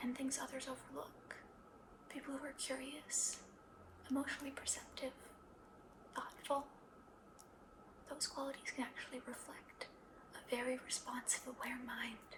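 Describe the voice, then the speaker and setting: Whispering in a gentle, calm tone, the speaker leaves long, frequent pauses. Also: moderate pace. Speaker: ASMR creator playing a psychologist. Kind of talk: ASMR therapy roleplay, soft-spoken personal attention. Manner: soft-spoken, gentle, calm.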